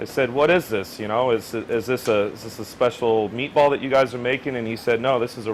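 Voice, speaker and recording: Fairly quick, fairly even speech from a man at medium pitch, with noticeable background noise. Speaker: executive chef. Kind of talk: interview answer.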